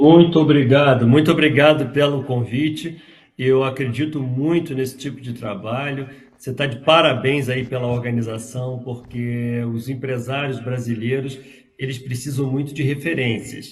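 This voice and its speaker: In a room with audible echo, a man of medium pitch speaks at a moderate pace, somewhat breathy, his intonation fairly even. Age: 60s. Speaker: software company founder. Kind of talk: interview.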